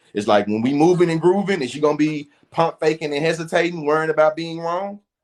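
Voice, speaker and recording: Ordinary pitch variation runs through the fairly high voice of this male speaker. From US South. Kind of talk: casual chat.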